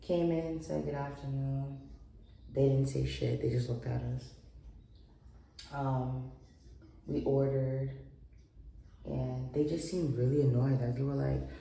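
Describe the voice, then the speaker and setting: Noticeable background noise surrounds a woman who speaks at a fairly slow pace. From New York. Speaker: writer and travel vlogger. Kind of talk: casual talk to camera.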